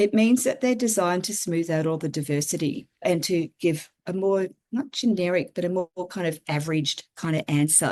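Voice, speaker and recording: A woman with an Australian accent talks at a moderate pace with hardly any pauses. Her pitch sits fairly low, her intonation is lively, and the background is quiet. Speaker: regenerative systems designer and writer. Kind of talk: interview conversation.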